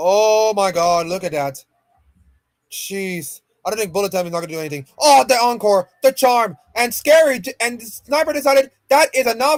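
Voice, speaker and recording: A man speaks at a high pitch and a moderate pace, his tone animated and his pitch swinging very widely. The sound is dry and close, with no echo. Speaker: streamer casting esports VOD review. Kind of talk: live commentary. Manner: mumbling.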